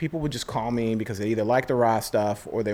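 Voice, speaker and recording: This man has an ordinary speaking voice at a medium pitch, with lively intonation and an American accent. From New York, Queens. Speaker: rock singer and music producer. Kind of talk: casual interview chat.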